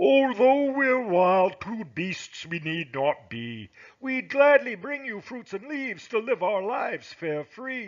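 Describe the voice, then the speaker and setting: A man uses a put-on character voice pitched high. He talks at a fairly slow pace with hardly any pauses. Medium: read story.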